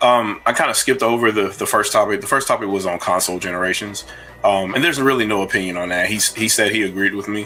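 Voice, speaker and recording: A man's fairly low voice at a very fast pace, with ordinary pitch variation and noticeable background noise. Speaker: online debater. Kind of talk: reaction commentary.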